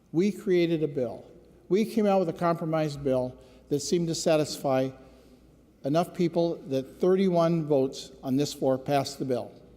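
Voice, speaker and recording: Speaking with an American accent, a man keeps very even loudness and a moderate pace, his dark, mellow voice fairly high in pitch with ordinary pitch variation. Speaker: state legislator, former police officer. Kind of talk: floor speech. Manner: unhappy, earnest.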